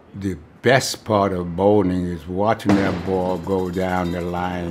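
In an American accent, a man with a very deep, low pitch speaks monotone and flat at a very slow pace over noticeable background noise. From New York, Brooklyn. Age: 80s+. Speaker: war veteran. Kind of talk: interview monologue.

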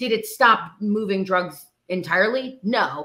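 With ordinary pitch variation and a bright, sharp tone, a woman speaks over a quiet background. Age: 30s. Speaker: actor and musician; actor. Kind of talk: interview conversation. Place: home room.

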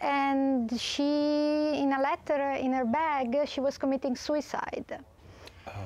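At a very slow pace, a woman with an Italian accent speaks at a high pitch with monotone, flat intonation and very even loudness, in dry sound with no echo. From Italy. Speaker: marine biologist. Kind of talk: TV talk show interview. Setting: TV studio. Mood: earnest storytelling. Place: studio.

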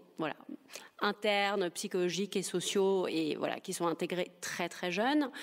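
This woman, medium in pitch, uses a normal speaking voice at a moderate pace. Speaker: journalist and feminist essayist. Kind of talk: panel discussion. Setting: stage with audience.

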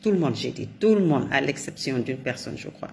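A woman with a Senegalese accent speaks at a fairly quick pace with lively intonation. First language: Wolof (speaking French). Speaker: commentator. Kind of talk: monologue commentary.

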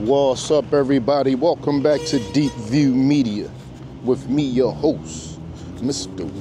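Music plays behind a man who talks at a very slow pace. The sound is dry, with no echo. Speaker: channel host riding. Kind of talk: casual vlog chat. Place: bicycle. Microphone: phone near.

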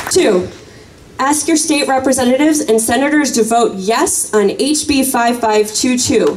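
With an American accent, a woman speaks at a fairly slow pace in a high, passionate voice with lively intonation and very even loudness over light background noise. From US Midwest. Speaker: gun violence prevention activist; speaker. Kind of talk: rally speech, rousing call to action. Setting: outdoor rally with crowd. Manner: passionate, urgent, crowd-pumping. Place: open country. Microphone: camera far.

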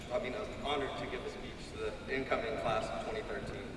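A man at a fast pace over clear background noise

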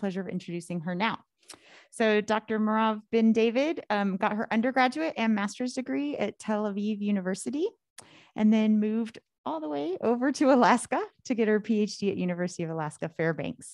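A woman with a normal speaking voice talks at a fairly quick pace, her fairly high pitch carrying lively intonation against a quiet background. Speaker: academic seminar host. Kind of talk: speaker introduction. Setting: stage with audience.

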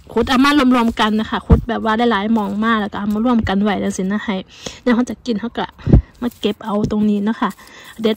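A woman's fairly even intonation comes across dry, with no echo. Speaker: home gardener vlogger. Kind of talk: casual vlog chat. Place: garden. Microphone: phone near.

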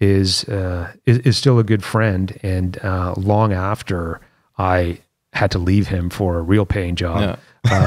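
Very slowly and with fairly even intonation, a man with a very deep, low pitch speaks against a quiet background. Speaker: interview guest. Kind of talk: interview answer. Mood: relaxed, fond recollection. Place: studio. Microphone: studio mic.

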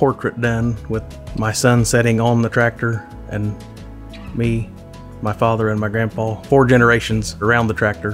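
Faint music sits in the background as the speaker talks at a fairly slow pace with ordinary pitch variation. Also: man. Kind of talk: interview answer. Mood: emotional, heartfelt. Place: home room. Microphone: lapel.

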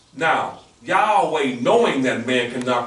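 A man speaks at a fairly slow pace with lively intonation. Noticeable background noise runs behind him. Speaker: class moderator and religious lecturer. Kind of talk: religious lecture. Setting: classroom with audience. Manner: formal.

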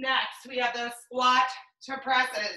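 A woman speaks with a raised, projected voice in a monotone, flat intonation, with audible room echo. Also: quiet background. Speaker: fitness instructor. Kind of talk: live exercise class, cueing moves and counting down reps to a follower. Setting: video workout at home, morning session. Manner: encouraging and friendly, warm sign-offs. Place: home room.

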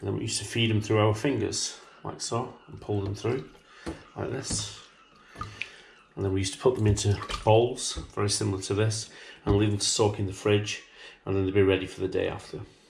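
A man speaks at a fairly quick pace in a fairly low pitch. His intonation is monotone and flat over light background noise. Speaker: butcher demonstrating recipe. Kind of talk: tutorial. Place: kitchen.

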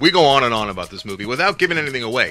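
Faint music plays in the background. Over it, a man talks at a very fast pace. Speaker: podcast co-host. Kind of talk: film review discussion. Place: home room. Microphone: studio mic.

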